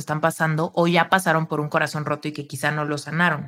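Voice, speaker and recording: A woman speaks in an animated tone. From Mexico. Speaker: spiritual coach. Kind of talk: casual interview chat.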